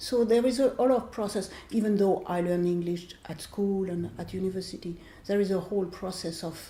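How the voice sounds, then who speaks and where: A woman's medium-pitched voice with a French accent, dark and mellow in tone, somewhat breathy, at a fairly quick pace with ordinary pitch variation and audible room echo. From France. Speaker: author. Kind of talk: interview.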